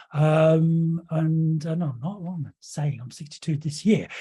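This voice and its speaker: At a moderate pace, a man speaks with a high pitch and a dark, mellow tone. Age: 60s. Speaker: hypnotherapy trainer. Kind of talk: lecture. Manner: hesitant, many fillers.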